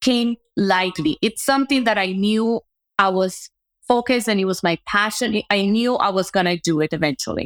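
Spoken with a non-native accent at a fairly slow pace and ordinary pitch variation, the voice has a dry, close sound with no echo in a very clean recording with a silent background. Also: woman. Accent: foreign-accented English. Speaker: entrepreneur, agency founder. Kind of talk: casual interview.

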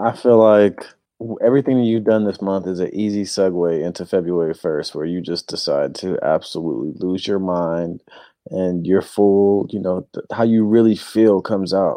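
At a moderate pace, a man with a fairly low pitch talks in a normal speaking voice with ordinary pitch variation. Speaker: basketball podcast co-host. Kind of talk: casual banter chat.

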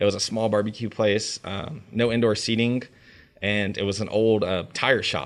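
In a normal speaking voice with an American accent, a man talks at a moderate pace and fairly low pitch with fairly even intonation, on a very clean recording with a silent background. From North Carolina, Raleigh-Durham area. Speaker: chef. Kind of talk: interview.

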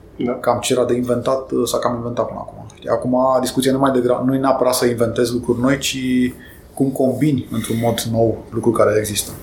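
Noticeable background noise and audible room echo surround the recording. A man speaks in a flat monotone. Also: medium pitch for a man. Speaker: IT executive and amateur pilot. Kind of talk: interview.

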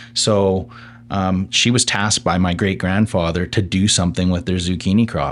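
A very deep, low male voice with a Western Canadian accent, at a moderate pace, with fairly even intonation, very even loudness and a quiet background. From Okanagan, British Columbia, Canada. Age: 30s. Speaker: city council candidate and food entrepreneur. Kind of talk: interview.

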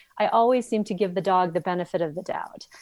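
A woman speaking fairly quickly in an American accent, with a dry, close sound and no echo. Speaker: animal behaviorist and author. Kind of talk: interview. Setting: video call. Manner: loud.

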